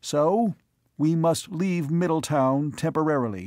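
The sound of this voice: With lively intonation and a fairly high pitch, a man talks at a fairly slow pace on a very clean recording with a silent background.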